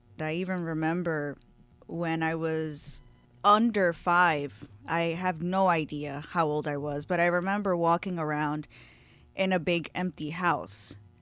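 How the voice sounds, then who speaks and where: A woman's fairly low voice with an American accent, fairly slow and fairly even in intonation, in a very clean recording with a silent background. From South Jersey, Camden. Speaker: podcast host. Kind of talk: casual monologue. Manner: casual, conversational.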